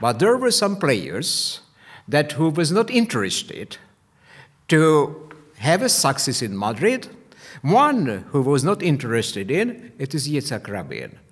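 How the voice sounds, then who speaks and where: Against a quiet background, a man talks at a fairly slow pace with vocal fry, very wide pitch swings, and long, frequent pauses. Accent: Hungarian. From Hungary. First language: Hungarian. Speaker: history professor and diplomat; history professor. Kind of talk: panel presentation. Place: meeting room. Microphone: studio mic.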